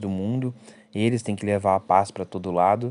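A man in a Brazilian accent. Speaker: podcast host reviewing films and series. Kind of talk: casual solo review podcast. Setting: at mother's house in the countryside.

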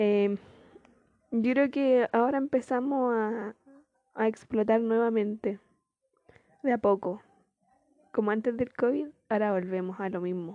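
A woman speaks with a Chilean accent at a fairly slow pace, leaving long, frequent pauses. Her pitch is fairly high and varies in an ordinary way. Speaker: podcaster. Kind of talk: casual chat. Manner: laughs often.

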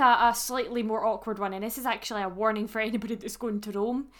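With a Scottish accent, a woman with a fairly high voice races along at a very fast pace, her intonation fairly even and hardly any pauses breaking it up. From Scotland. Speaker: podcast co-host. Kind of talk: casual chat.

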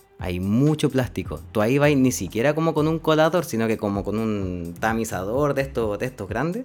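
A medium-pitched man at a moderate pace, with very wide pitch swings and hardly any pauses, music playing behind him. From Chile, Linares (Maule region). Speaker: human ecologist, NGO climate director. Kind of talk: casual interview chat.

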